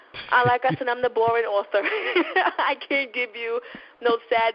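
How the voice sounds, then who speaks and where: In a New York accent, a woman speaks at a fairly high pitch. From New York, Brooklyn. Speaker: novelist. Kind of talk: interview. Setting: internet radio show.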